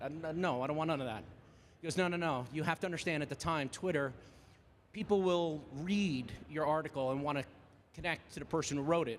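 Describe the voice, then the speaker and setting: A man with a New Jersey accent, fairly high pitch, an animated tone and a fairly quick pace. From New Jersey, Jersey Shore. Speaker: AV industry professional, conference presenter. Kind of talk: conference presentation. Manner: very fast.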